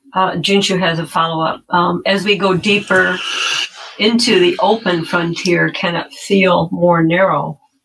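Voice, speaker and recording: Here is a plain, everyday voice, moving at a fairly slow pace with fairly even intonation. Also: woman, fairly low pitch for a woman. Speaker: moderator reading questions. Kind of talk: reading out audience questions.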